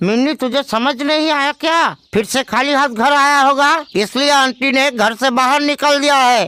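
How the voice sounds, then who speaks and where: This is a cartoonish character voice. Its pitch is high. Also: moderate pace, hardly any pauses. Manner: blunt, scolding.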